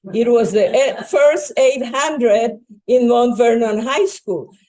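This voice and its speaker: A woman speaks with a Spanish accent at a very slow pace. Her pitch swings very widely. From Bolivia. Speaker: retired educator and school board member. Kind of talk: public talk.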